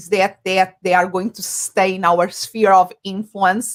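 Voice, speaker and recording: A woman with a non-native accent, at a moderate pace, with fairly even intonation. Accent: noticeable foreign. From Portugal. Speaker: business coach, psychologist. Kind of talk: interview answer.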